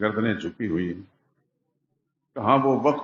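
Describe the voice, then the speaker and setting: A normal speaking voice carries ordinary pitch variation. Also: man. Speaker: Islamic scholar, Quran commentator giving a Friday sermon. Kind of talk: Friday sermon (khutbah) delivered in a mosque. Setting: mosque.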